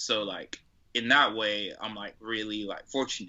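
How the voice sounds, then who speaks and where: A man speaks with an ordinary speaking voice. His pitch is medium and his pace moderate. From Atlanta, US South. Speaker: rapper and producer. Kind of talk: casual interview chat.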